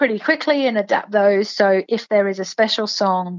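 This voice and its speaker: A woman speaks with an English accent. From England. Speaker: singer and performer. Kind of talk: interview.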